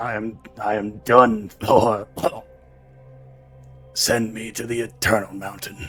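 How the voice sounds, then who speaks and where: A man puts on a strained character voice at a medium pitch and a fairly slow pace. Faint music plays in the background. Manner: struggling to speak.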